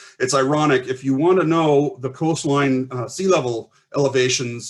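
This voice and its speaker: A man's medium-pitched voice, fairly even in intonation, with hardly any pauses. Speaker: archaeologist. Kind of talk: conference presentation. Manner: fast.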